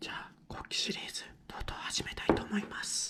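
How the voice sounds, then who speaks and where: A whisper moves along at a fairly quick pace. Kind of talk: soft-spoken ASMR talk while coloring. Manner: soft-spoken, whispered.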